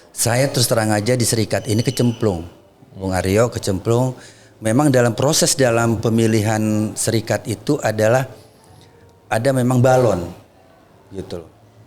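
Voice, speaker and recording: A man's medium-pitched voice at a moderate pace, with ordinary pitch variation, long and frequent pauses, and music in the background. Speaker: labor union leader. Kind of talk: podcast interview. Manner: soft-spoken.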